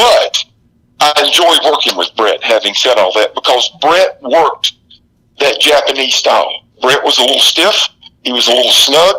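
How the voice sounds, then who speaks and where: A man speaks with a Southern US accent at a very even loudness, the sound dry and close with no echo. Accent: Southern US drawl. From US South, South Carolina. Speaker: retired pro wrestler. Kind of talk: interview.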